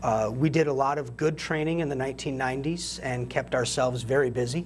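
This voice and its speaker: Somewhat breathy, a man talks fairly quickly at a medium pitch with fairly even intonation. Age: 40s. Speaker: military veteran. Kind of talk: interview.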